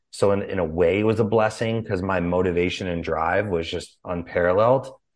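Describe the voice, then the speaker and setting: Over a quiet background, a man with an American accent speaks at a moderate pace in a very deep, low pitch with fairly even intonation. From Chicago, US Midwest. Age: 30s. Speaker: former boxer and business founder. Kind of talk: interview. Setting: remote call.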